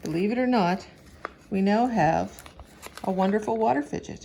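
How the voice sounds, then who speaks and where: Noticeable background noise sits under an animated tone delivered at a moderate pace with ordinary pitch variation. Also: woman. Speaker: teacher. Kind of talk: tutorial.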